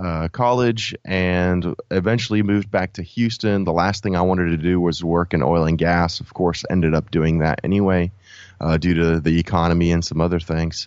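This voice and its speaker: A man's very deep, low pitch with fairly even intonation, at a moderate pace. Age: 30s. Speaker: product development coach, former mechanical engineer. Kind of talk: casual interview.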